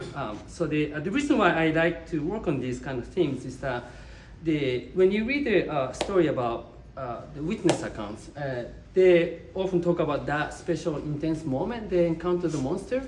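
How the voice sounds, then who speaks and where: A man with a Japanese accent speaks at a moderate pace in a fairly high pitch, with lively intonation. Audible room echo and noticeable background noise fill the recording. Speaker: visual artist. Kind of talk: artist talk. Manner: halting, many fillers.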